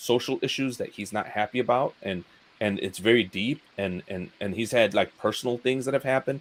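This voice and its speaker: A man's fairly quick speech comes through with noticeable background noise around it. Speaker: YouTuber. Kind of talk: casual chat. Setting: live stream. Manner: halting.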